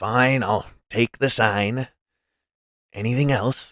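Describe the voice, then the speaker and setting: A man uses a raspy, put-on character voice at medium pitch. He speaks at a very slow pace. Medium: read story. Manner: gruff, haggling.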